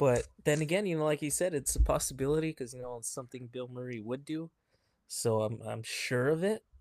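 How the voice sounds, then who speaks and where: A man in a normal speaking voice talks at a medium pitch with ordinary pitch variation and big swings in loudness. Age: 30s. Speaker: podcast co-host. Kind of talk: casual chat.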